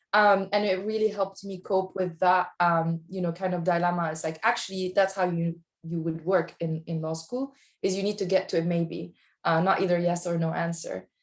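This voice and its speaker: Delivered at a moderate pace with a non-native accent, the speech has a monotone, flat intonation. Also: woman, fairly low pitch for a woman. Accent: foreign. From outside the US. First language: not English. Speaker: lawyer. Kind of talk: panel discussion. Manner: halting.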